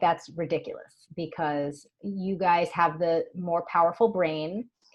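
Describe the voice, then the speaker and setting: Her voice is an unremarkable speaking voice, fairly low in pitch for a woman, with fairly even intonation and a fairly slow pace. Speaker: hormone health expert and author. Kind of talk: interview conversation.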